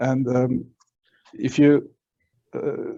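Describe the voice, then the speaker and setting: With a non-native accent, a man talks in a dark, mellow tone at a fairly high pitch, keeping his intonation fairly even. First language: not English. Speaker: public commenter, provisionally licensed attorney. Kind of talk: public comment at board meeting. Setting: remote meeting, mic enabled by host. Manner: halting, many fillers.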